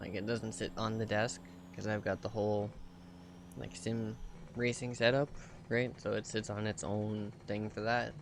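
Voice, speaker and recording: A soft-spoken man talks at a moderate pace in a fairly low voice. His intonation is fairly even, broken by long, frequent pauses. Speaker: video game streamer. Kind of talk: casual live-stream chat. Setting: home streaming setup.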